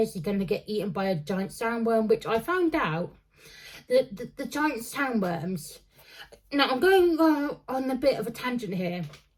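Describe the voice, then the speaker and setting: With very wide pitch swings, a woman's fairly high, somewhat breathy voice rises and falls. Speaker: book reviewer. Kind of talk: casual book review monologue. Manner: halting, many fillers and restarts; slowed down on purpose.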